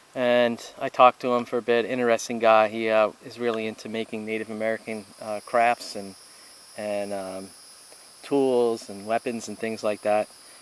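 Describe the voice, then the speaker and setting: Through noticeable background noise, a man at a medium pitch speaks at a moderate pace in a monotone, flat intonation, his loudness swinging widely. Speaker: hiking and camping vlogger. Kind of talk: outdoor vlog narration. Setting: outdoors at campsite. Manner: hesitant, many fillers. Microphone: poor microphone, hard to hear.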